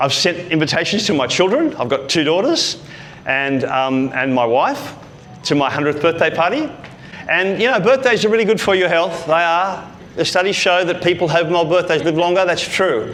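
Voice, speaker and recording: Amid music in the background and audible room echo, a man talks in an animated tone at a moderate pace, with lively intonation, a high pitch and very even loudness. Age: 60s. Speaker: speaking coach. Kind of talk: motivational talk.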